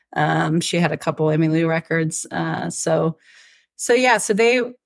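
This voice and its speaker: In a Southern US accent, a woman talks at a moderate pace with a fairly low pitch, on a very clean recording with a silent background. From Atlanta, Georgia, US South. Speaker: country singer-songwriter. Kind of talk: interview.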